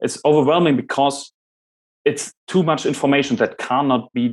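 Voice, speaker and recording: With a German accent, a man talks at a fairly quick pace and with ordinary pitch variation. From Germany. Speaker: podcast host and presenter on Jungian psychology. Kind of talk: lecture.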